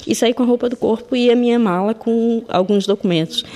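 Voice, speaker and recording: Against noticeable background noise, a woman with a Brazilian accent talks at a moderate pace with a fairly high pitch. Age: 40s. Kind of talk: testimony.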